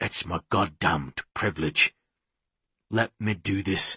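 A man's put-on character voice, breathy and hoarse, low-pitched with a bright, sharp tone, at a slow pace. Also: ordinary pitch variation, dry, close sound with no echo.

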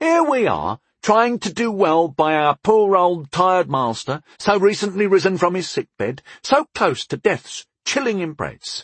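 This put-on character voice moves at a fairly slow pace with few pauses and big pitch swings. The tone is fairly bright with a slightly husky edge, and the sound is dry and close with no echo. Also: man, high pitch for a man.

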